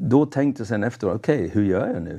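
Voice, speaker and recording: A man speaks at a moderate pace with an English accent and a dark, mellow tone. His pitch varies in an ordinary way against a quiet background. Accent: English accent in Swedish. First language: English (speaking Swedish). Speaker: evangelist. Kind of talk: testimony. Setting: studio. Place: studio. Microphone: lapel.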